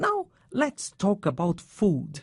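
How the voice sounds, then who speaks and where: A woman talks with a Brazilian accent and a somewhat breathy voice. Her pitch swings very widely. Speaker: radio presenter of English lessons. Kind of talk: scripted educational radio chat.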